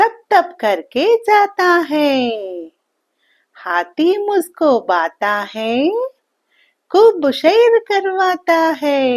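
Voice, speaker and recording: A woman speaks with an extremely high pitch against a quiet background. She leaves long pauses, and often. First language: Telugu (speaking Hindi). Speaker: children's poem reciter. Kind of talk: reading aloud.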